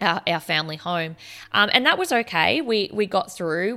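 Bright and sharp in tone, a woman speaks with an Australian accent. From Australia, regional Victoria. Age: 30s. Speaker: podcast host. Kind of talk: personal testimony. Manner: hesitant, many fillers.

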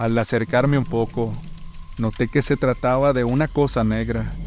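A man talking at a fairly slow pace. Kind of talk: ghost story telling, first-person horror tale.

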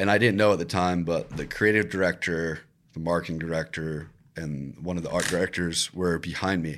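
A man with a Virginia accent speaks at a very deep, low pitch with fairly even intonation, on a very clean recording with a silent background. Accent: American (Virginia). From Virginia Beach, Virginia, US. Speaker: videographer and content creator. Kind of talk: interview.

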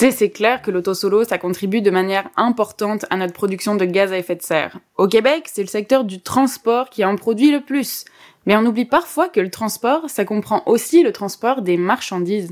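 At a moderate pace, a woman talks in an ordinary speaking voice with fairly high pitch. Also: ordinary pitch variation. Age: 20s. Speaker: climate activist and podcast co-host. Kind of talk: scripted podcast chat.

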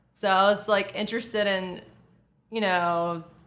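A woman with an American accent speaks at a fairly slow pace in a fairly low, monotone, flat voice. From US South, Lafayette, Louisiana. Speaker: model and actress. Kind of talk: casual interview.

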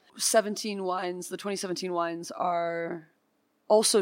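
On a very clean recording with a silent background, a woman with a Californian accent speaks at a fairly low pitch. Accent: General American (Californian). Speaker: winemaker. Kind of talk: interview.

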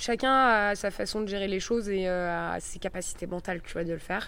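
This woman has a normal speaking voice, with medium pitch and a moderate pace. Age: 20s. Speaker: sailor. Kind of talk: interview.

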